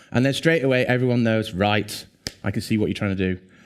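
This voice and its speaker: In an English accent, a man talks at a very fast pace. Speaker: conference speaker. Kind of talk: conference talk. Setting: stage with audience. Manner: animated.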